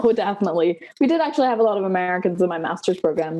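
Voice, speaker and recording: With a dark, mellow tone and a fairly low pitch, a woman talks very fast, her pitch moving in an ordinary way. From Denmark. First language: Danish. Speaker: PhD student. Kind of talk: interview. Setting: video call.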